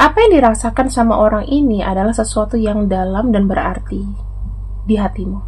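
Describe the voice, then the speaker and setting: Moderate pace from a woman speaking. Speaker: tarot reader. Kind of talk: general tarot reading narration. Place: home room.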